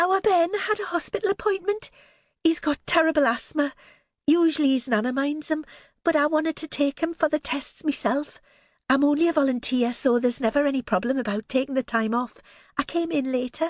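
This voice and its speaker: A shaky, nervous put-on character voice races along at a fairly quick pace with lively intonation, in a dry, close sound with no echo. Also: woman, high pitch for a woman. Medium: read story. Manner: nervous, trembling.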